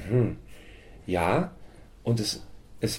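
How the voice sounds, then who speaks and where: A man speaks with a dark, mellow tone and lively intonation. His voice carries vocal fry. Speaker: folk singer and songwriter. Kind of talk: interview.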